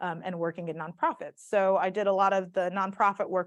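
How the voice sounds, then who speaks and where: Against a quiet background, a woman speaks fairly quickly at a medium pitch with fairly even intonation. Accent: strong Southern US. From US South, South Mississippi. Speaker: community organizer and speaker. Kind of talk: talk to a live audience.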